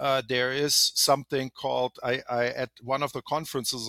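A man with a German accent talks at a medium pitch with fairly even intonation. The sound is dry and close with no echo, on a very clean recording with a silent background. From Germany. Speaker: healthcare IT executive. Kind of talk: interview.

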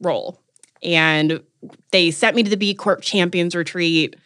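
A woman with an American accent speaks at a moderate pace. Her voice is fairly low-pitched with a bright, sharp tone. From North Carolina. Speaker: marketing agency founder and startup accelerator leader. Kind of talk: interview conversation.

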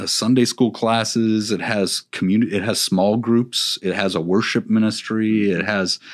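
A man speaks in a plain, everyday voice at a fairly low pitch with fairly even intonation, recorded very cleanly against a silent background. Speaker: youth pastor. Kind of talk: casual interview. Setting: studio.

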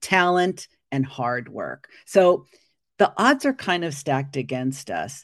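A woman with a very deep, low pitch speaks at a very slow pace with lively intonation against a quiet background. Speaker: coach, former psychotherapist. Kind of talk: casual interview chat. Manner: energetic and loud.

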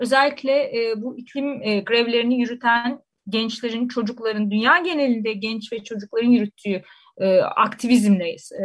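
Her pitch fairly high and its variation ordinary, a woman talks at a moderate pace. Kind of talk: radio discussion. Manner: hesitant with many fillers.

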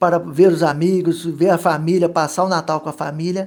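A man with a high pitch speaks in a dark, mellow tone with fairly even intonation. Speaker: photographer. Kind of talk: radio interview.

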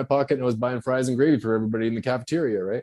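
A man of medium pitch speaks with a Canadian accent in a dark, mellow tone. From Canada. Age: 50s. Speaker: author and former exotic dancer. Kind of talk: casual interview chat.

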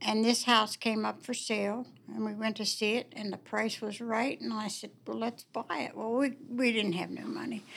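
With an American accent and vocal fry, a woman speaks at a moderate pace in a fairly high pitch with fairly even intonation. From Warwood, Wheeling, West Virginia. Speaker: longtime homeowner telling ghost stories. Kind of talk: storytelling.

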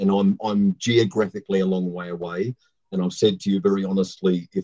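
The sound is dry and close, with no echo. A man speaks in a dark, mellow tone with ordinary pitch variation. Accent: Australian. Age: 60s. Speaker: former missionary. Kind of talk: casual live panel chat.

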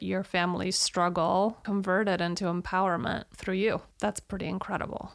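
Flat, monotone delivery with hardly any pauses. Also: woman, medium pitch for a woman, moderate pace. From Eastern Europe. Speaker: podcast host. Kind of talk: casual interview chat.

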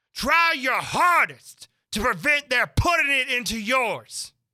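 A man puts on a character voice with an extremely high pitch, big pitch swings and a bright, sharp tone. He speaks slowly on a very clean recording with a silent background.

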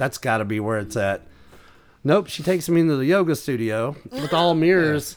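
His intonation is lively, and his pitch is fairly high. The man speaks with an American accent. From US South, East Tennessee. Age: 40s. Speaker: comedian and rare book collector. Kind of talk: casual chat.

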